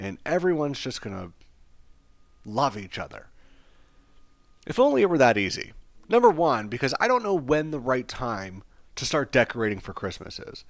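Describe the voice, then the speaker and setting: A man at medium pitch sounds animated, with very wide pitch swings and big swings in loudness. He leaves long, frequent pauses. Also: very clean recording, silent background. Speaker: podcast host. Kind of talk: casual podcast monologue. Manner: fast.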